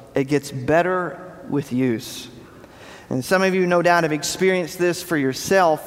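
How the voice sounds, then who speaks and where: A man with an American accent speaks at a moderate pace with a high pitch and ordinary pitch variation. The room echo is audible and there is noticeable background noise. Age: 40s. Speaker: pastor. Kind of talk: sermon.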